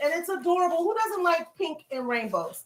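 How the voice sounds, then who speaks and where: Animated in tone, a woman speaks at a moderate pace with very wide pitch swings. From US South. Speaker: lifestyle vlogger. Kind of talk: live stream unboxing chat. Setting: home livestream.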